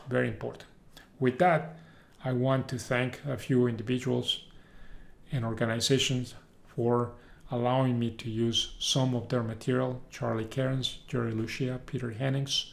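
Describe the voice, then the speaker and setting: Over audible room echo, a man talks at a moderate pace in a medium pitch, his intonation flat and monotone. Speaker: university professor. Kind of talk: lecture. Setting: recorded video lecture.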